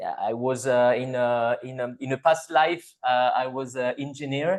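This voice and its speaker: The speaker talks very slowly with a French accent. Pitch variation is ordinary. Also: man. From France. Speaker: psychologist and discussion group co-host. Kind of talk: casual online group discussion. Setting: video call. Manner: halting, many fillers.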